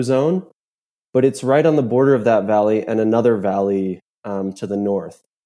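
A man with an American accent, a dark, mellow tone and lively intonation. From US. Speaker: alpinist. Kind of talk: interview.

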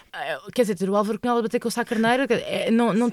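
A woman with a Lisbon accent and fairly high pitch, at a very fast pace, in a dry, close sound with no echo. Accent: European Portuguese, Lisbon area. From Portugal, Lisbon suburbs (Loures). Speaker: actress and theatre company director. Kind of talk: interview conversation.

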